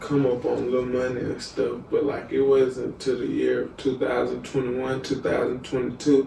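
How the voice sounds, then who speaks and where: Against noticeable background noise, a man with an American accent talks at a moderate pace with hardly any pauses. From US South, Wiggins, Mississippi. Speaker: musician and content creator. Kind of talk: casual interview. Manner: halting, many fillers.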